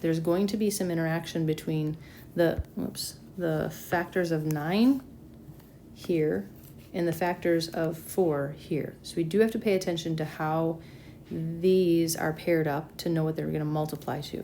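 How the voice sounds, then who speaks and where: Her voice has a dark, mellow tone, a fairly low pitch and ordinary pitch variation, as this woman talks at a fairly slow pace. Room echo is audible. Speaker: math teacher. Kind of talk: lecture. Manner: casual.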